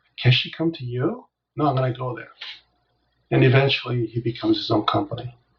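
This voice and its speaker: A man speaks at a fairly quick pace in a gentle tone. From South Korea, moved to Los Angeles at 9. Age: 60s. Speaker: business coach. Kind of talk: interview.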